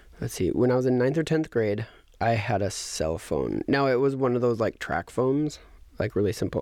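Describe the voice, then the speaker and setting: The delivery comes at a fairly quick pace with lively intonation in a normal speaking voice. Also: man, quiet background. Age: 30s. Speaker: podcast host. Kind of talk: casual chat.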